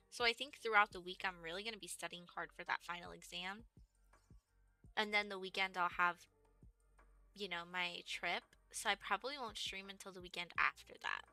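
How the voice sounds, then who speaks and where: Over music in the background, a woman with an American accent talks fairly quickly at medium pitch, with fairly even intonation, big swings in loudness and long, frequent pauses, the sound dry and close with no echo. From Texas. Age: 20s. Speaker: gaming streamer. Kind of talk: casual live-stream chat.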